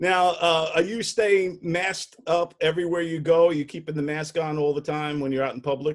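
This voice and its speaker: Fairly high male voice in a New York accent, at a moderate pace with fairly even intonation. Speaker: comedy show host. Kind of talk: casual interview.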